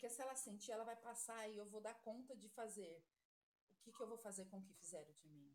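At a fairly quick pace, a woman with an ordinary speaking voice talks in a fairly high pitch, using ordinary pitch variation and big swings in loudness. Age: 40s. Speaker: nursing assistant. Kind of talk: casual chat.

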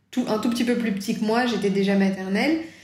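Speaking at a fairly quick pace, a woman with a fairly high pitch keeps her intonation fairly even, with audible room echo. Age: 30s. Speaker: children's book author. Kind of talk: interview. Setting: remote recording.

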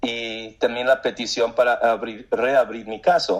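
Here a man talks at a fairly slow pace. His pitch is medium. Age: 50s. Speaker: war veteran. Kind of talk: interview. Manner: halting.

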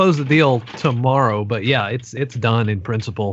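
A man with a normal speaking voice, at a fairly slow pace with ordinary pitch variation. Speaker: podcast co-host. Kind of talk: casual chat.

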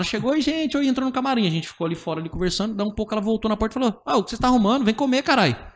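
A man with a high pitch talks at a very fast pace with lively intonation and hardly any pauses. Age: 20s. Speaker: stand-up comedian. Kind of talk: casual chat.

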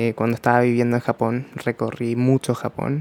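In a dry, close sound with no echo, a man talks at a moderate pace with a medium pitch and monotone, flat intonation. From Chile. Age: 20s. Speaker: podcast host, makeup artist. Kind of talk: casual monologue. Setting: at home by a window.

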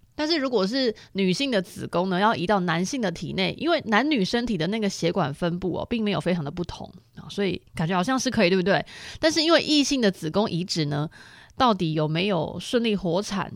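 A woman at medium pitch and a fairly quick pace, with very wide pitch swings, in a very clean recording with a silent background. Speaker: podcast host. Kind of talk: casual solo monologue. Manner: slightly slurred, hard to curl tongue.

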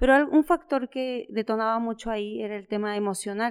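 In a very clean recording with a silent background, a woman with an unremarkable speaking voice and fairly high pitch talks at a moderate pace with ordinary pitch variation. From Mexico, Chiapas (San Cristóbal de las Casas). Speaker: entrepreneur. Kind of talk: interview.

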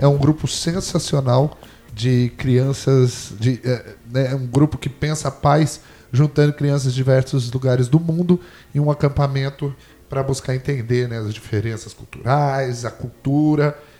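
Somewhat breathy, the voice has a dark, mellow tone and fairly even intonation. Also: man, medium pitch for a man, moderate pace. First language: Portuguese. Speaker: podcast host. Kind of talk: casual chat. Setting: studio.

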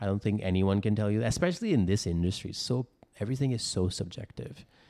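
Recorded very cleanly against a silent background, the voice has a dark, mellow tone, ordinary pitch variation, and a fairly quick pace, with a dry, close sound and no echo. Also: man. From India. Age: 30s. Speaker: filmmaker. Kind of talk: casual interview.

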